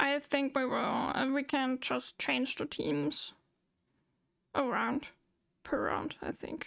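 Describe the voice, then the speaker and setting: With a German accent, a woman speaks at a very slow pace. She leaves long, frequent pauses. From Germany. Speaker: VTuber streamer. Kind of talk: casual chat. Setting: live stream with Discord voice chat.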